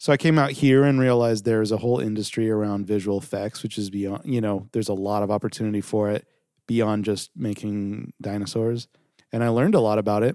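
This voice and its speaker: A man talks at a very fast pace with a fairly low pitch and a dark, mellow tone. The recording is very clean, with a silent background. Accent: Californian. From Southern California. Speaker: video production company founder. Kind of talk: interview.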